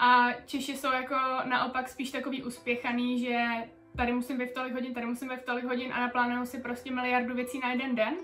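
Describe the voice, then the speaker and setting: With audible room echo and noticeable background noise, a woman talks very fast at a high pitch in a monotone, flat intonation. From Czech Republic (Chrudim). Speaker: Czech expat in Spain. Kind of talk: interview. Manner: casual, colloquial.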